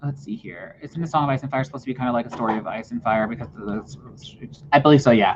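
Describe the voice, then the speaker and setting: Talking at a very fast pace, a man with a medium pitch lets his loudness swing widely. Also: ordinary pitch variation, hardly any pauses. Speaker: writer. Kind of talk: casual chat.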